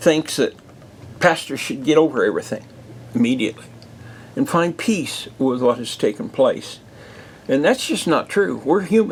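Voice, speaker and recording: A man talks with very wide pitch swings. Vocal fry runs through his voice. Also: moderate pace. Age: 70s. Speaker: pastor. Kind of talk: podcast monologue. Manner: halting.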